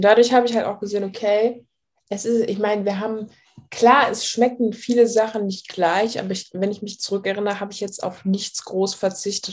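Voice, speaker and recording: At a fairly quick pace, a woman speaks in a monotone, flat intonation at a medium pitch. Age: 20s. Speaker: weight loss client sharing her story. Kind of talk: interview testimony. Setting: video call.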